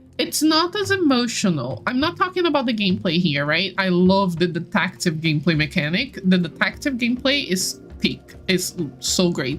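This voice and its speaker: A woman speaks at a moderate pace and a medium pitch, her pitch swinging very widely while her loudness stays very even, with hardly any pauses and music playing in the background. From Brazil. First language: Portuguese. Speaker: live streamer. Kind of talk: casual chat. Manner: animated.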